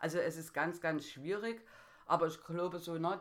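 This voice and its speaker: A woman's fairly low voice, fairly slow, with ordinary pitch variation, in a very clean recording with a silent background. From Saxony, Germany (Dresden). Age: 30s. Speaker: care worker. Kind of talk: interview.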